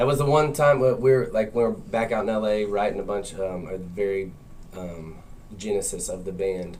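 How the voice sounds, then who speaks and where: In a Southern US accent, a man speaks at a moderate pace with a fairly low pitch and ordinary pitch variation, and audible room echo surrounds his voice. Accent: Southern US twang. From US South. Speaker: rock band member. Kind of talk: radio interview. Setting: radio studio.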